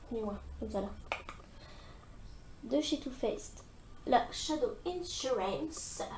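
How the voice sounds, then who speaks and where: A woman with high pitch and very wide pitch swings speaks at a very slow pace in a strong northern French accent, with long, frequent pauses. Audible room echo and noticeable background noise are present. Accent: thick northern French. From northern France. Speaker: beauty vlogger. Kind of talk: makeup tutorial. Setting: filming at home in front of mirror. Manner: casual, hesitant with fillers.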